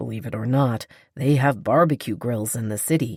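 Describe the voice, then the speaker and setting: A man puts on a character voice, growling at a medium pitch with ordinary pitch variation and a moderate pace, in a very clean recording with a silent background. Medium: read story. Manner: dry, wry.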